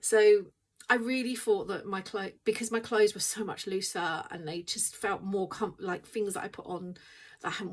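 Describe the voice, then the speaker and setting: A woman speaks with an English accent at a fairly quick pace. Her intonation stays fairly even. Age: 50s. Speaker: weight loss vlogger. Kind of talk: casual vlog chat. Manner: hesitant, filler-heavy.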